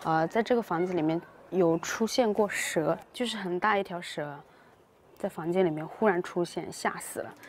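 The intonation is lively and the pace moderate. The sound is dry with no echo, over light background noise. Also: woman. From rural China. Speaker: Chinese teaching vlogger. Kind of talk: casual vlog narration. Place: open country. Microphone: phone near.

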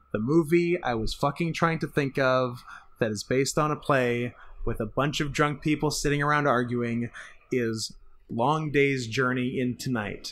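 Using an unremarkable speaking voice, a man speaks at medium pitch and a moderate pace with fairly even intonation. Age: 30s. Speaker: film podcast co-host. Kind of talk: casual chat.

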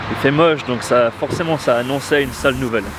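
At a fairly slow pace, the speech has a dry sound with no echo but noticeable background noise. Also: man. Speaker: entrepreneur, marketing agency founder. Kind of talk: casual vlog talk to camera. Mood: upbeat despite bad news. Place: street. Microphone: lapel.

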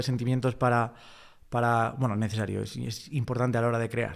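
A man speaks with a Spanish accent. The background is quiet. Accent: Peninsular Spanish. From Spain. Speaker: interviewer. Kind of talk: interview. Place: studio. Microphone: studio mic.

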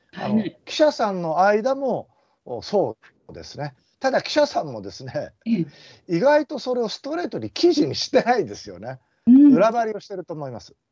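Against a quiet background, a man with a high voice makes very wide pitch swings and big swings in loudness. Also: fairly quick pace. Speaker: politician. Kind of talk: casual political discussion. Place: home room. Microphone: video call.

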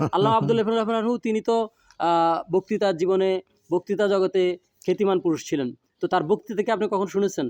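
This man's voice is high in pitch with ordinary pitch variation and very even loudness, captured with a dry, close sound and no echo. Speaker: son of the late preacher, interviewer. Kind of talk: interview with religious reflection. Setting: outdoors at a family home. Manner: formal.

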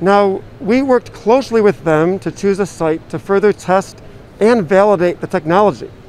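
A man at high pitch and a moderate pace, dry sound with no echo, light background noise. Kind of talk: interview answer. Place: hall. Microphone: handheld.

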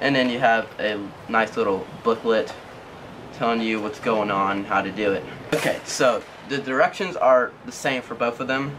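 Over noticeable background noise, a man talks at a moderate pace. His pitch shows ordinary variation. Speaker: product reviewer. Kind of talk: product review tutorial. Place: garden. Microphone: camera far.

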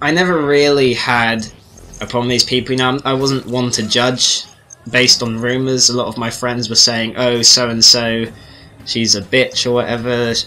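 Amid noticeable background noise, a man of medium pitch speaks at a moderate pace in a monotone, flat intonation. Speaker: gaming commentator. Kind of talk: casual commentary over gameplay.

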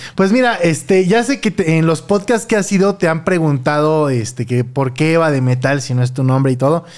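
A Mexican accent at a moderate pace, with hardly any pauses, very even loudness and a quiet background. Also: man, fairly high pitch for a man. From Mexico. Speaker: podcast host. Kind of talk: casual chat. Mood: relaxed, amused. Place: home room. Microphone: studio mic.

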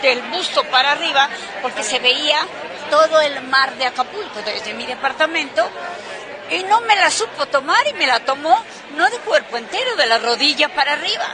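A woman speaks in a raised, projected voice at a moderate pace. Crowd noise fills the background, and the sound is dry with no echo. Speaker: interviewee. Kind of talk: interview answer. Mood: amused, anecdotal. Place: hall.

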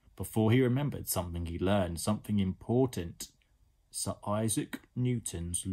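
The clip features an unforced reading voice.

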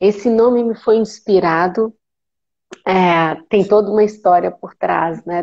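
Against a quiet background, a woman with a Brazilian accent speaks at a very slow pace. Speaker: guest, spiritual light worker. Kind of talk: casual spiritual conversation on live stream. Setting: video call live stream, phone with headphones. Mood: warm, grateful, smiling. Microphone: earbuds.

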